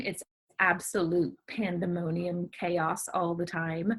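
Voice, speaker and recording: With a slight Southern US accent, a woman speaks at a medium pitch. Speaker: novelist. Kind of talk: interview.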